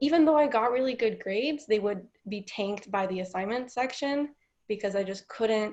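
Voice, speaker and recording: This woman has a normal speaking voice with an American accent. She talks at a moderate pace in a medium pitch. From Washington State, US (Mexican family). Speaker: college student. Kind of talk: interview. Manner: filler-heavy ('um', 'like').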